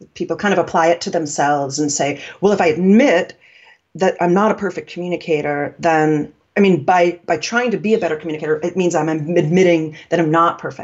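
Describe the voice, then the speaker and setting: An ordinary speaking voice at a fairly quick pace, with ordinary pitch variation. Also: woman, fairly low pitch for a woman. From New York. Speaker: communication coach. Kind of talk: interview conversation, explanatory.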